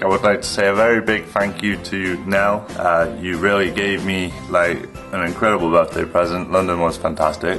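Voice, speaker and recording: Clear music plays behind a man speaking at a fairly low pitch. He keeps a moderate pace with hardly any pauses. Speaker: vlogger. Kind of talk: casual vlog chat. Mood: relaxed, cheerful, laughing. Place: home room. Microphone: webcam.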